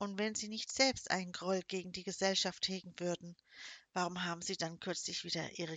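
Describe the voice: Fairly even intonation in plain reading aloud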